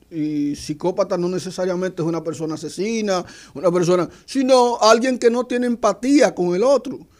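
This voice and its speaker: At a moderate pace, a man talks in a high voice. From eastern Dominican Republic, Hato Mayor. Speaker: university lecturer and analyst. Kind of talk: radio panel discussion.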